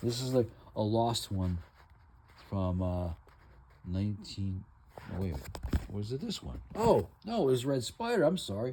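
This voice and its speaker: A man speaks with long, frequent pauses. His voice is somewhat breathy, with a dark, mellow tone. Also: fairly low pitch for a man, lively intonation, fairly slow pace. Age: 60s. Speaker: comic book collector vlogger. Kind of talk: casual monologue showing collection. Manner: halting, many fillers.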